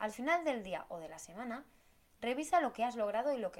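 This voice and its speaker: Her pitch moves across a very wide range. The woman talks at a fairly quick pace. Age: 30s. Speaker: podcast host, business planning coach. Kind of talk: solo podcast monologue.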